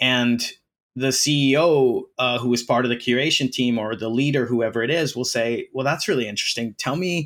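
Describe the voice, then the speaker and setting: In an American accent, a man with a normal speaking voice talks at a moderate pace and medium pitch, using ordinary pitch variation, on a very clean recording with a silent background. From US, Philadelphia. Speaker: artist and creative agency CEO. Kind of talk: interview.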